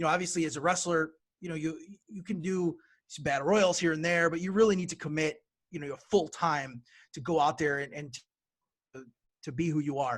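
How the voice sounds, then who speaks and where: Speaking at a fairly quick pace, a man breaks his speech with long, frequent pauses, his loudness swinging widely while his pitch varies in an ordinary way. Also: fairly high pitch for a man. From Brazil, moved to US as young child. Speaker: wrestling promoter and wrestler. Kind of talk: podcast interview. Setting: podcast. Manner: halting, many fillers.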